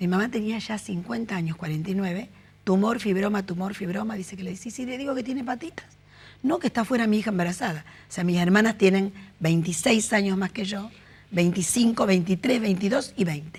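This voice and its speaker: A somewhat breathy woman talking at a fairly quick pace. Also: medium pitch for a woman, ordinary pitch variation. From Argentina, Rosario. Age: 60s. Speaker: interviewee sharing life story. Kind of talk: interview.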